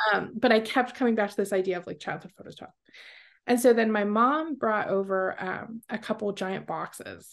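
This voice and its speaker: In a normal speaking voice, a woman talks at a moderate pace with a fairly high pitch, ordinary pitch variation and big swings in loudness against a quiet background. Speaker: oil painter. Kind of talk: casual interview.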